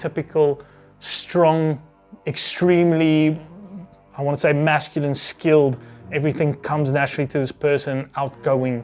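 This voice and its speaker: A man's fairly high voice at a moderate pace, with music in the background. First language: not English. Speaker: book reviewer. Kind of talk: casual monologue. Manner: hesitant, many fillers.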